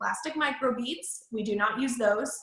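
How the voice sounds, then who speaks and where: Talking at a moderate pace, a woman with an unremarkable speaking voice uses a fairly high pitch that varies in an ordinary way. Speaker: MLM sales trainer. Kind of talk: training presentation.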